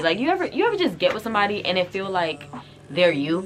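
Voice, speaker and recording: Over music in the background, a woman talks at a very fast pace in an animated tone. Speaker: YouTuber. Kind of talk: storytime vlog.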